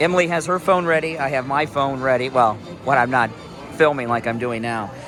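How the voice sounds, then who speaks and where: Music plays in the background and the room echo is audible. A man talks at a medium pitch and a fairly quick pace, with ordinary pitch variation. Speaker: theme park vlogger. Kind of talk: casual vlog narration. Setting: outdoors at theme park.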